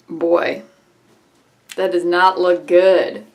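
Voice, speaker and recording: A woman speaks at a medium pitch. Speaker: beauty vlogger. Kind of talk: makeup tutorial and review. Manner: mumbling.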